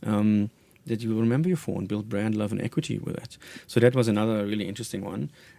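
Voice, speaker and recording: With a German accent, a man talks at a very fast pace, his fairly low pitch showing ordinary pitch variation. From Germany. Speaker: marketing executive. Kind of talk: radio interview. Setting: radio studio.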